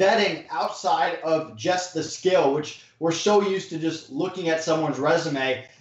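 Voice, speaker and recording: A man speaks with ordinary pitch variation. Noticeable background noise runs under the recording. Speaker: e-commerce entrepreneur. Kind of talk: interview. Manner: direct.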